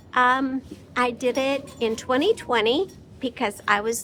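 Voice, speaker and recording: There is music in the background. Over it, a woman talks with a high pitch. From small town (Pearston), later Warsaw. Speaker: small-farm vlogger, retired teacher. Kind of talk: casual vlog, answering viewer questions. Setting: in a barn.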